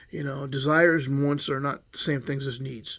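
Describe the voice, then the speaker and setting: Fairly high in pitch, this man's voice is somewhat breathy. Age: 60s. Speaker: former prisoner vlogger. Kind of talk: casual monologue. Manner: halting.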